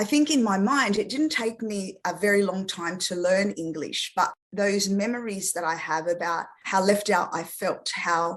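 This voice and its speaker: Speaking at a moderate pace with an Australian accent, a woman has medium pitch and ordinary pitch variation. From Australia, after early childhood in France. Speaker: speech therapist. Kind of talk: interview.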